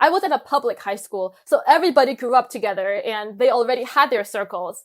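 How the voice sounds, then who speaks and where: A woman with a Chinese accent, high in pitch with lively intonation, in a very clean recording with a silent background. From China. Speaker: international student. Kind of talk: interview. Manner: hesitant, many fillers.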